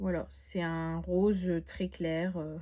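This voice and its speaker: The voice here is somewhat breathy. It belongs to a woman. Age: 20s. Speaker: beauty youtuber. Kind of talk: product haul review. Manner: casual, with many fillers.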